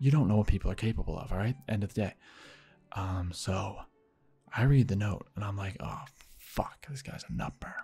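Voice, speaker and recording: Whispering in a somewhat breathy way, the speaker keeps a moderate pace broken by long, frequent pauses. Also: man. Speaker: YouTuber, gaming channel storyteller. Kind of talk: casual storytelling. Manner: animated.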